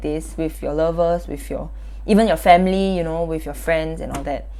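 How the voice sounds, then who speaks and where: With a Singaporean accent, a woman speaks at a fairly quick pace amid audible room echo. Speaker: youtuber. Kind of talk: self-reflective vlog monologue. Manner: loud; casual, filler-heavy.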